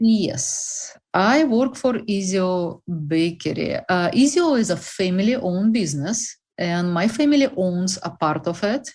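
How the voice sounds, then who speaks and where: A woman with a Russian accent speaks at a fairly slow pace in a medium pitch, sounding somewhat breathy against a quiet background. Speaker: bakery representative. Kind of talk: interview.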